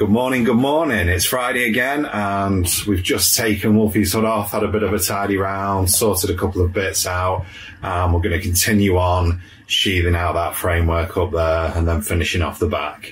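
A man's very deep, low voice with very even loudness and ordinary pitch variation. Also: moderate pace. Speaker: van build vlogger. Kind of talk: casual vlog chat. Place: car. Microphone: phone near.

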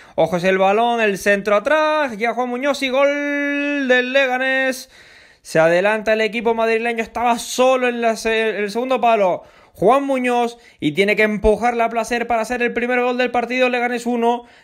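A man speaks at an extremely high pitch with fairly even intonation over a quiet background. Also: moderate pace. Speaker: football radio commentator. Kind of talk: live football commentary. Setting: radio broadcast.

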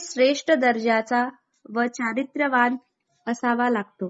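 A woman speaks in a high voice. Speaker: shorthand dictation reader. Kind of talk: shorthand dictation reading.

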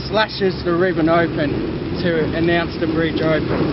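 Loud background noise behind a man's moderately paced voice. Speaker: walking tour guide. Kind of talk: storytelling tour talk. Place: street. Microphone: camera far.

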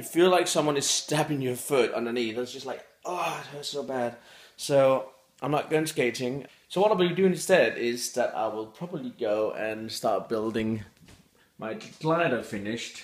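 A man's moderately paced speech carries audible room echo. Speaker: daily vlogger. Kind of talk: casual vlog chat. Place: home room. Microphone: phone near.

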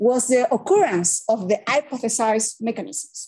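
A woman with a Spanish accent talks at a moderate pace in a fairly high pitch, with lively intonation and a quiet background. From Chile. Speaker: civil engineering professor; presenter. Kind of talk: academic seminar lecture. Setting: hybrid webinar with live audience. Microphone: webcam.

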